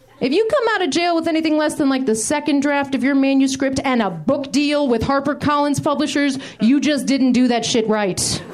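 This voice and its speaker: A woman speaks at a fairly quick pace in a high voice, with ordinary pitch variation, very even loudness and hardly any pauses, over noticeable background noise. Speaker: comedian. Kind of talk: stand-up. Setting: stage with audience.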